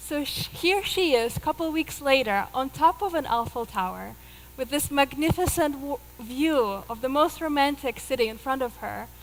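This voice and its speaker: Over noticeable background noise, a woman with a Russian accent speaks at a moderate pace with high pitch and lively intonation. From Russia (Moscow, Soviet Union). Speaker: yoga teacher and spiritual mentor. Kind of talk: inspirational talk. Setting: stage with audience.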